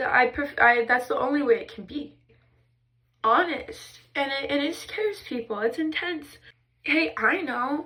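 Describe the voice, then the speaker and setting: A woman projects her voice in a high pitch with a bright, sharp tone. Her pace is fairly slow, with very wide pitch swings and big swings in loudness. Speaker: mental health vlogger. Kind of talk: emotional personal vlog monologue. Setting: in a bathtub. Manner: intense, expressive; halting, restarting sentences.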